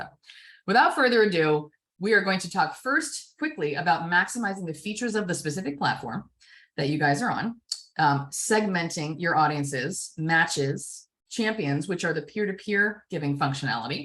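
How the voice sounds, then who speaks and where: A woman speaks with lively intonation. Her pitch sits fairly low. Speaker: fundraising consultant. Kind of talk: workshop presentation. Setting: video call webinar. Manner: fast.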